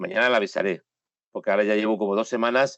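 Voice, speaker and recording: A man with a Spanish accent. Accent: Spanish (Spain). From Spain. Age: 60s. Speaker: photojournalist. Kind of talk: interview. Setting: home studio, remote call. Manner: emphatic.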